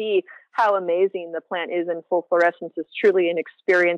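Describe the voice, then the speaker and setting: In a dry, close recording with no echo, a woman with an American accent and a medium pitch speaks at a fairly quick pace. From US West Coast (San Francisco Bay Area). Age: 40s. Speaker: cannabis scientist. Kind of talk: interview.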